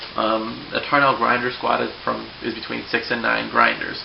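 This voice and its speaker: A fairly slow delivery amid noticeable background noise and audible room echo. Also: man. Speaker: hobbyist video blogger. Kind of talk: casual vlog explanation. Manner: hesitant, many fillers.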